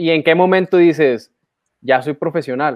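A man in a Mexican accent, with a high pitch. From Mexico. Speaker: archery podcast co-host. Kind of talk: casual chat.

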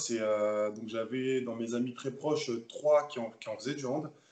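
Fairly slow delivery with fairly even intonation. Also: man, hardly any pauses. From Paris suburbs, France (Seine-Saint-Denis). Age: 20s. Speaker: professional handball player. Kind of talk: interview. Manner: halting, frequent repetitions.

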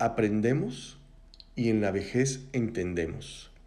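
A man with a dark, mellow tone speaks at medium pitch and a very slow pace, with ordinary pitch variation and audible room echo. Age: 40s. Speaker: podcast host. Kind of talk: reflective monologue. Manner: casual, conversational.

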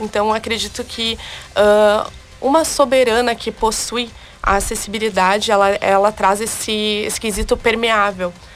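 A woman speaks fairly slowly at a fairly high pitch with fairly even intonation while noticeable background noise carries on. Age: 20s. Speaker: beauty pageant candidate. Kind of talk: radio interview.

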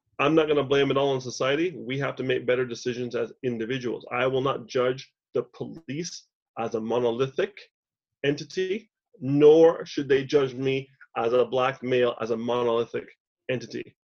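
With a Canadian accent, a man speaks in a normal speaking voice at a moderate pace, medium in pitch with ordinary pitch variation. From Canada, Montreal. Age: 50s. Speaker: business consultant. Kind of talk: podcast interview.

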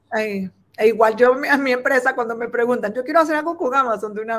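Her pitch varies in an ordinary way as this woman rushes along at a very fast pace. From Venezuela. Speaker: importing business owner. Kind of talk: live-stream interview.

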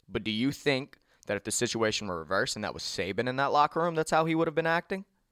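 A man's very fast speech with vocal fry and very wide pitch swings, on a very clean recording against a silent background. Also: dry, close sound with no echo. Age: 20s. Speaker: sports podcast host. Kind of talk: casual chat. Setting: studio.

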